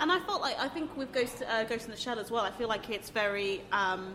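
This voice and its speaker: A woman's high voice with lively intonation, fairly quick in pace, over noticeable background noise. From abroad, a country that had a coup. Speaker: podcaster. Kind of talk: casual chat. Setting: recorded live in a cafe venue.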